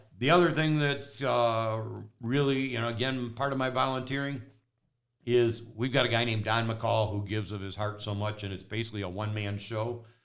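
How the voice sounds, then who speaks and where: A man's medium-pitched voice with ordinary pitch variation, a fairly quick pace and audible room echo. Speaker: realtor. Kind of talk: casual chat. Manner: rambling with fillers.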